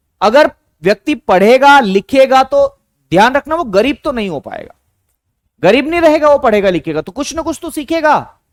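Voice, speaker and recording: A man's extremely high voice, animated, with lively intonation and big swings in loudness, dry and close with no echo. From Madhya Pradesh, India. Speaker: online exam teacher. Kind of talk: live online class lecture.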